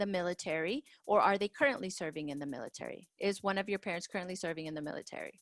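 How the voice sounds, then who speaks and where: A woman with a Spanish accent speaks with ordinary pitch variation in a dry, close sound with no echo. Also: very clean recording, silent background. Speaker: school counselor. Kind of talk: tutorial. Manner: casual, conversational.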